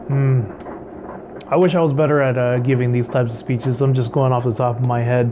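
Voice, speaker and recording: There is noticeable background noise as a man speaks at a moderate pace and medium pitch. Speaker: writing vlogger. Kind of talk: casual vlog talk. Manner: halting, many fillers.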